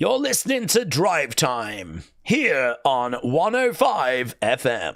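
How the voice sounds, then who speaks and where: A man puts on a character voice at a fairly high pitch. He speaks at a very slow pace with hardly any pauses. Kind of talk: radio DJ announcer voice.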